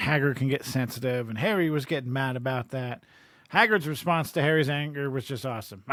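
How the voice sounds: The speaker uses a natural reading voice. It sounds like ordinary reading.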